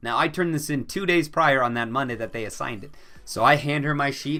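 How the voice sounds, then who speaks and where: Over music in the background, a man speaks at a very fast pace in a fairly high pitch with ordinary pitch variation. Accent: Midwestern. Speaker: YouTuber. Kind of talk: storytime vlog. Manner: casual, chatty.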